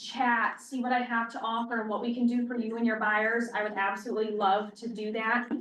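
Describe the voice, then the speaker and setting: A woman talks at a fairly quick pace in a high pitch, with audible room echo. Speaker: loan officer. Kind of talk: sales pitch. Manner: soft-spoken.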